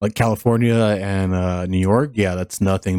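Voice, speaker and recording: Fairly low in pitch, a man's dark, mellow voice moves at a fairly quick pace in an American accent. The very clean recording is dry and close with no echo, over a silent background. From USA. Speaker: reaction video creator. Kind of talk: casual reaction commentary.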